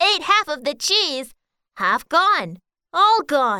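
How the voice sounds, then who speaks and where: A put-on character voice speaks at a high pitch. The pace is very slow. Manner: mumbling.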